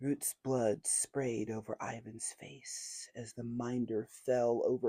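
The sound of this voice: An unforced reading voice keeps its intonation fairly even.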